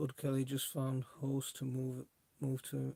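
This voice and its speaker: Here is a man with a Welsh accent and a medium pitch. His voice is somewhat breathy. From South Wales. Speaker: allotment gardening YouTuber. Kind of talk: casual livestream chat. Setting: home livestream on laptop. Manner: casual, hesitant with fillers.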